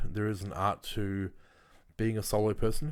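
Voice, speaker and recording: This man speaks with an Australian accent. His intonation is fairly even. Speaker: YouTuber. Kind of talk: casual monologue. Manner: halting, many fillers.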